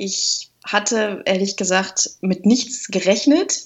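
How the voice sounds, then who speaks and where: A plain, everyday voice is heard. Pitch varies by an ordinary amount. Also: woman. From Lüneburg Heath, northern Germany. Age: 30s. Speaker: organist and YouTuber. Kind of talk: interview.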